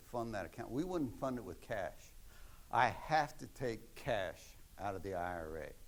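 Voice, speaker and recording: A man with an American accent talks at a moderate pace, with audible echo from the room. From Maryland, US. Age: 70s. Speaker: retired accountant giving a talk. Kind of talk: lecture.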